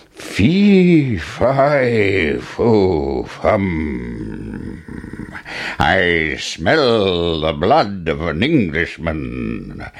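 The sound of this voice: Putting on a character voice, a man bellows at a very slow pace in a low pitch with vocal fry and very wide pitch swings, faint noise behind him.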